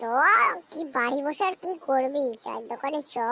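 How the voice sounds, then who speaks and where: A woman speaks at a moderate pace in a high, cartoonish character voice. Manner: fretful, excitable.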